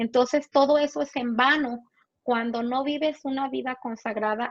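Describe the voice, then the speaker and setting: Speaking at a fairly slow pace, a woman keeps a high pitch and fairly even intonation. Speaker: pastor's wife, Bible teacher. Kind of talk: Bible teaching. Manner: halting, with many fillers.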